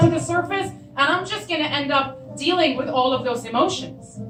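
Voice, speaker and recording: A woman's raised, projected voice with lively intonation over background music. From Syria. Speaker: storyteller. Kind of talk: live storytelling performance.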